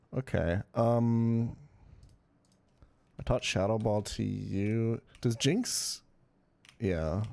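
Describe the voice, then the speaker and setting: At a very slow pace and with long, frequent pauses, a man speaks in a dark, mellow tone at very even loudness on a very clean recording with a silent background. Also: medium pitch for a man, ordinary pitch variation. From Europe, grew up abroad. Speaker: gaming streamer. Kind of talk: live stream chat while gaming. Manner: casual, swearing, filler-heavy.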